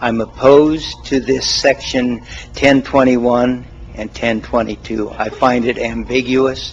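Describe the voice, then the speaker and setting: Over noticeable background noise, a man with an American accent talks at a fairly slow pace. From Oregon. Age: 70s. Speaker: citizen giving public comment. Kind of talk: public comment at county meeting. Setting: county commission meeting, at a mic.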